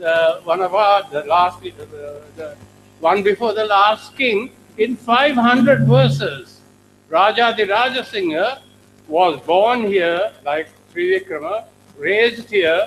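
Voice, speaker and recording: A man's high-pitched voice at a very slow pace, with lively intonation. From Sri Lanka. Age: 80s+. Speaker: professor. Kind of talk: keynote speech. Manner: halting.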